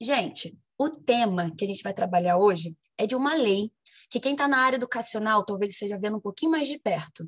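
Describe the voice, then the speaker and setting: A woman's fairly high, somewhat breathy voice, fairly quick with lively intonation, in a dry, close sound with no echo. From Brazil, Rio de Janeiro. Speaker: history teacher. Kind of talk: casual self-introduction; lecture.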